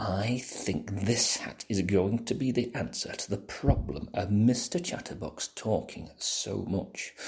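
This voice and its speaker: Using a put-on character voice, a man speaks at a medium pitch. His intonation is lively and his pace fairly slow. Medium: read story.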